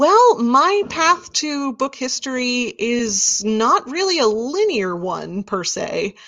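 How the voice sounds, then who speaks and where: Very slow speech with an American accent, very wide pitch swings and hardly any pauses, over noticeable background noise. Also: woman, high pitch for a woman. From US Midwest, Wichita, Kansas. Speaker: rare book seller and former librarian. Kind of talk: interview, casual chat.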